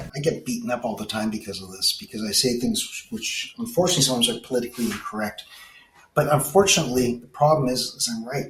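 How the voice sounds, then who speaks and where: Over noticeable background noise, a man with a Canadian accent talks very fast at a medium pitch, with lively intonation and big swings in loudness. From Canada. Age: 60s. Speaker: technology business consultant. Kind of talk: podcast interview. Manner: animated.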